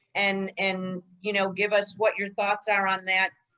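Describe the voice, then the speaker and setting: A woman talking at a fairly slow pace. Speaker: real estate trainer. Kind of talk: training session. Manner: loud.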